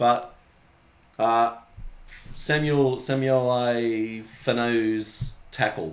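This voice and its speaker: A man speaks with an Australian accent. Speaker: rugby league podcast co-host. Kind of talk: casual chat. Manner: animated.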